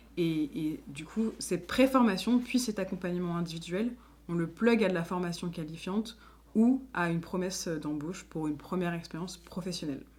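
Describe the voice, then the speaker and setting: Somewhat breathy and fairly low in pitch, a woman talks at a moderate pace with lively intonation. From France, Lyon. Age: 20s. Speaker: association founder and director. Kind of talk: interview monologue. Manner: hesitant, many fillers.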